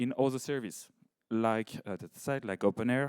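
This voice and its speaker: A medium-pitched man at a moderate pace, with a dry, close sound with no echo on a very clean recording with a silent background. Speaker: project representative presenting a case study. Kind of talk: conference presentation. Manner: halting, many fillers and restarts.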